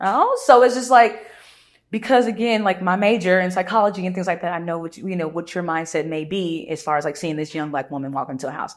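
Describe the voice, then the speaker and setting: Very fast and full of lively intonation, a woman's voice comes through on a very clean recording with a silent background. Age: young. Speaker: real estate agent. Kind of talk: casual interview chat.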